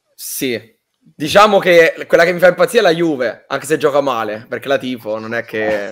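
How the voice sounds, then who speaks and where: A man talks at a moderate pace and a fairly high pitch, with hardly any pauses. His pitch swings very widely and his loudness shifts a lot. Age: 20s. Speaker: youth football coach and match analyst. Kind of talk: casual live stream chat.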